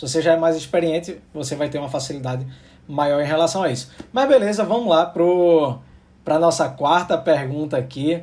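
At a moderate pace, a man talks in an ordinary speaking voice with a fairly high pitch. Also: ordinary pitch variation. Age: 30s. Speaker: podcast host. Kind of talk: casual chat.

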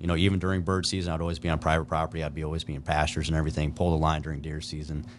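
Speaking at a very fast pace, a man with a Midwestern American accent uses ordinary pitch variation. His pitch is very deep and low. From US Midwest, eastern Nebraska. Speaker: outdoor gear product developer and trapper. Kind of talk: casual interview.

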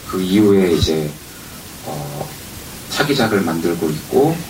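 Against noticeable background noise and audible room echo, a man speaks at a very deep, low pitch. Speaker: indie game studio head. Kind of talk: live panel talk. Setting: stage with audience.

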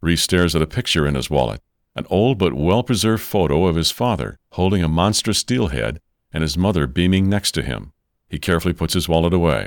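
A man speaks at a fairly quick pace in a very deep, low voice with vocal fry and lively intonation. The sound is dry and close with no echo, on a very clean recording with a silent background. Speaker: narrator. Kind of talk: scripted narration.

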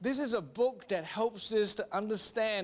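Here is a man with an Australian accent. His voice is high-pitched and his pace moderate. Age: 30s. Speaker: pastor. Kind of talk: sermon.

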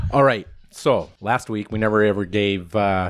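At a moderate pace, a man with a normal speaking voice talks at a fairly low pitch. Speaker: podcast host. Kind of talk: casual chat.

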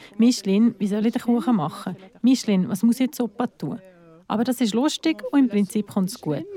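The voice is somewhat breathy with a dark, mellow tone, moving at a fairly quick pace with ordinary pitch variation in a dry, close sound with no echo. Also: woman, fairly high pitch for a woman. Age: 40s. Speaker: volunteer cook for bands. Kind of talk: interview testimony.

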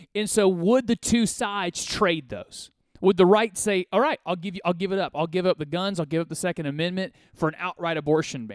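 On a very clean recording with a silent background, a man speaks fairly quickly in a high voice with ordinary pitch variation, a dry, close sound with no echo and hardly any pauses. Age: 30s. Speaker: radio host. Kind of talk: political commentary monologue.

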